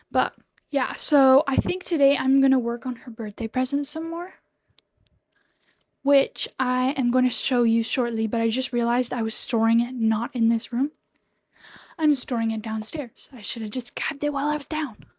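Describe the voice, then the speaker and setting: A woman whispering at a moderate pace, in a dry, close sound with no echo. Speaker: crochet small business owner and vlogger. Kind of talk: casual vlog talk. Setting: at home. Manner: whispering a bit to avoid being overheard.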